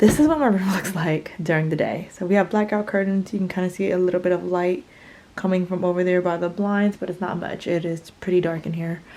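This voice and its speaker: Fairly quick, fairly even speech over noticeable background noise. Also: woman, medium pitch for a woman. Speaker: vlogger. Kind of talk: casual vlog narration. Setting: at home. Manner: whispering.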